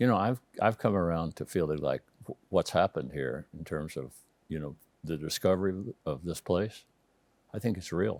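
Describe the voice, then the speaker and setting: Recorded dry and close with no echo on a very clean recording with a silent background, a man with an American accent, a very deep, low pitch and vocal fry speaks with long, frequent pauses. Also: ordinary pitch variation, moderate pace. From Texas, Amarillo (Panhandle). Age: 70s. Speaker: housing developer. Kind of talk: interview conversation.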